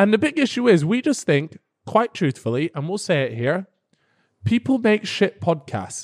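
The speaker has a British accent and talks at a moderate pace with very wide pitch swings. The recording is very clean, with a silent background. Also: man, high pitch for a man. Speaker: YouTuber and podcast co-host. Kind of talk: casual chat. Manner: playful.

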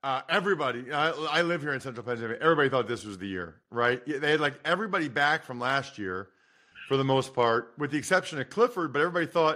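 A man's bright, sharp voice at a very fast pace with lively intonation, against a quiet background. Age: 40s. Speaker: football podcast host, former player. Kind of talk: casual chat. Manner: animated.

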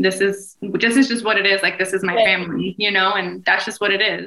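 In an unremarkable speaking voice, a woman talks at a fairly quick pace with a medium pitch and fairly even intonation. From New Jersey, US. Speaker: podcast co-host and mom. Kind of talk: casual chat.

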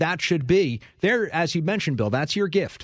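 Against a quiet background, a man speaks at a very fast pace with lively intonation and an energetic tone. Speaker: sports reporter. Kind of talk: lively debate.

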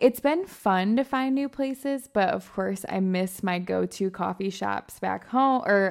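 Here a woman has a plain, everyday voice with medium pitch and ordinary pitch variation. The recording is very clean against a silent background. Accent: American. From Michigan. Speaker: lifestyle and fitness influencer. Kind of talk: casual chat.

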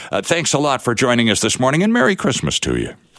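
A man with a medium pitch speaks with vocal fry and very wide pitch swings. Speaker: radio host. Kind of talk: radio interview. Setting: radio studio. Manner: animated.

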